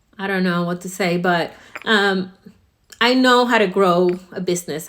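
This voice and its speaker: A woman speaks in an ordinary speaking voice at a medium pitch, her intonation fairly even. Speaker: salon owner and hair educator. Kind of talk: promotional talk to camera.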